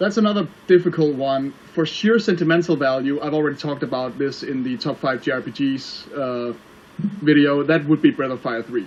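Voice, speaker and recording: A man with a Danish accent at a fairly quick pace. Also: fairly high pitch for a man, ordinary pitch variation. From Denmark. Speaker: online video reviewer. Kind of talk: casual interview chat.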